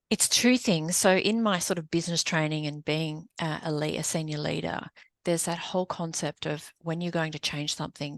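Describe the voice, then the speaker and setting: A woman's very deep, low voice at a fairly quick pace, with ordinary pitch variation and hardly any pauses, in a dry, close sound with no echo against a quiet background. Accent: Australian. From Australia (Sydney). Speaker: business coach and consultant. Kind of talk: podcast interview.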